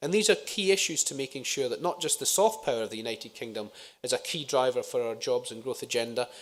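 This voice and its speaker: The speech comes at a very fast pace with a Scottish accent. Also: man. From Scotland. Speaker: politician. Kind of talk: conference speech. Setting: conference stage with audience. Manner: frequent filler uhs.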